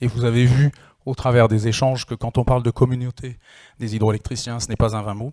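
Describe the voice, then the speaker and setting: The man's voice has a medium pitch and a dark, mellow tone, delivered flat and monotone in a dry, close sound with no echo. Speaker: industry association chairman. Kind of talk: closing conference speech. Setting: conference hall with audience. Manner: hesitant, many fillers.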